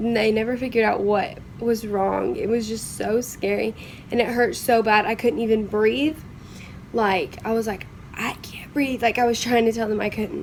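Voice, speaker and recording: Over noticeable background noise, a woman with a Southern US accent speaks at a fairly high pitch and a moderate pace. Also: fairly even intonation. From Kentucky, USA. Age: young. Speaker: vlogger living with cystic fibrosis. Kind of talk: casual story time to camera.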